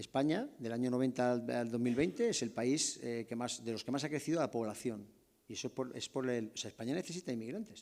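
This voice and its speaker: A man's dark, mellow tone comes at a fairly quick pace. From southern Spain. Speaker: army general, strategic studies director. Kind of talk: lecture. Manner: halting with false starts.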